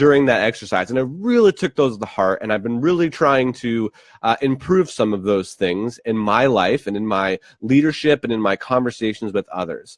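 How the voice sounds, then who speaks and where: A man speaks in an unremarkable speaking voice at a moderate pace with lively intonation. The sound is dry and close with no echo, over a quiet background. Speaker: leadership vlogger. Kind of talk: casual vlog monologue.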